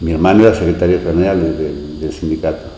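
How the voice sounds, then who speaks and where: A man with a Rioplatense accent talks at a fairly quick pace. Noticeable background noise and audible room echo are present. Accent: Argentine Rioplatense Spanish. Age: 60s. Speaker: local resident, former beach resort concessionaire. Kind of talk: oral history interview. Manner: hesitant, many fillers.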